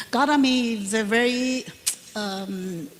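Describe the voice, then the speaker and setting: A woman talks with a Chinese accent at a fairly high pitch and ordinary pitch variation. Noticeable background noise runs behind her. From Taiwan. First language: Mandarin Chinese. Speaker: Buddhist nun and professor. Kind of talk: panel Q&A answer. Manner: halting, many fillers.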